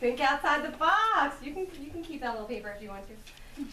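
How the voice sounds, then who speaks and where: A raised, projected voice moves through very wide pitch swings. Audible room echo and noticeable background noise fill the recording. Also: woman. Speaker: chiropractor. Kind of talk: patient workshop talk. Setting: room with live audience of patients.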